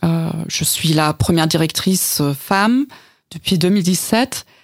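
A woman with a German accent. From East Germany. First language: German (speaking French). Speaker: cultural institute director. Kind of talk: radio interview. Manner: halting, repeating words.

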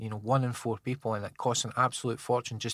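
Someone with a central Scottish accent talks at a very fast pace in a very clean recording with a silent background. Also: man, dry, close sound with no echo. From Scotland, Falkirk area. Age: 40s. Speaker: drug reform campaigner. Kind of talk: casual interview. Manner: halting, repetitive.

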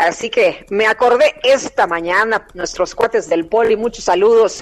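A woman talks at a fairly slow pace. Noticeable background noise runs underneath. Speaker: radio news co-host. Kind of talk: morning radio news show.

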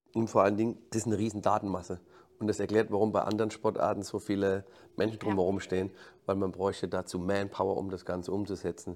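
A man talks at a very fast pace in a fairly low pitch. His intonation is monotone and flat, on a very clean recording with a silent background. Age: 50s. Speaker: football coach. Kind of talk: interview. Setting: stadium backstage room. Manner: halting, repeats words.

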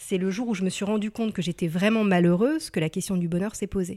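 The recording is very clean, with a silent background. A woman with a dark, mellow tone speaks at a moderate pace. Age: 30s. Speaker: career transition coach. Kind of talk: interview.

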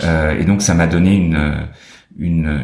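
Amid noticeable background noise and audible room echo, a man speaks in a very deep, low pitch with ordinary pitch variation. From France (French Alps), teen years in New York. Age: 40s. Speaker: photography curator and gallerist. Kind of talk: interview. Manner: hesitant, many fillers and repetitions.

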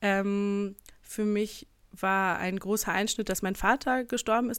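Fairly even in intonation, a woman speaks at medium pitch on a very clean recording with a silent background. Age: 20s. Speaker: church history researcher. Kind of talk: casual chat. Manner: hesitant, many fillers.

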